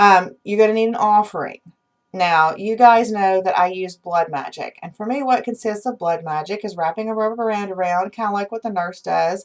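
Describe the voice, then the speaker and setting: A woman with a plain, everyday voice, medium pitch, ordinary pitch variation, and a moderate pace. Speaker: witchcraft channel host. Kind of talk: unscripted instructional talk to viewers.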